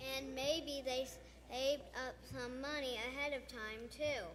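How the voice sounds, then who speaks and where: A put-on character voice, female-sounding and high-pitched, at a moderate pace over clear background noise. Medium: stage play.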